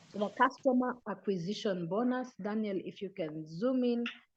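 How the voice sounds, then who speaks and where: A woman's medium-pitched, unremarkable speaking voice, fairly slow, with ordinary pitch variation and a quiet background. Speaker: business presenter. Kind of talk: online sales presentation.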